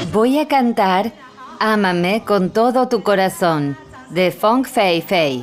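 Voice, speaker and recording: Over music in the background, a woman in a Taiwanese accent speaks very slowly at a medium pitch, her intonation lively. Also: very even loudness. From Taiwan, Hualien county. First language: Amis (speaking Spanish). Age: 30s. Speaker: politician. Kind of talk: interview; public address.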